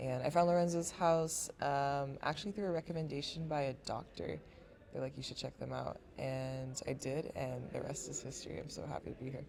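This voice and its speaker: At a fairly quick pace, a woman talks while noticeable background noise carries on. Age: 20s. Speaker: university student and family caregiver. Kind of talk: casual chat. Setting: podcast.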